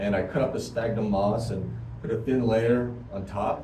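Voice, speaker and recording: Speaking at a fairly slow pace with ordinary pitch variation, a man is heard with audible room echo. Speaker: hobby gardener vlogger. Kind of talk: casual home video explanation. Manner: speaking louder than usual; hesitant, many fillers.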